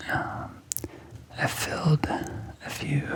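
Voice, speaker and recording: A whisper comes through noticeable background noise. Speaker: ASMR creator, map illustrator. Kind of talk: ASMR map drawing narration. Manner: whispered.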